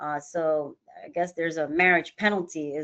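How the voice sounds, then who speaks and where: A woman talks with fairly even intonation at a fairly low pitch. Hers is an unremarkable speaking voice. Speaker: financial advisory firm executive. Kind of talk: webinar presentation. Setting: online webinar.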